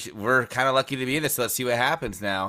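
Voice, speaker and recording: An ordinary speaking voice at a fairly quick pace on a very clean recording with a silent background. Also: man. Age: young. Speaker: sports podcast co-host. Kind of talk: casual chat.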